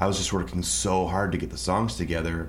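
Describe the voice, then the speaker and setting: A man talks at a very fast pace with a very deep, low pitch, vocal fry and ordinary pitch variation. Audible room echo surrounds his voice. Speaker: musician and songwriter. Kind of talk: interview.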